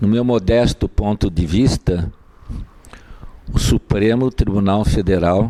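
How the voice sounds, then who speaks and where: Over noticeable background noise, a man speaks very slowly with long, frequent pauses, ordinary pitch variation and very even loudness, in a dry, close sound with no echo. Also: fairly low pitch for a man. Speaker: lawyer. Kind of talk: lecture. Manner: soft-spoken; formal. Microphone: mic not helping, too quiet.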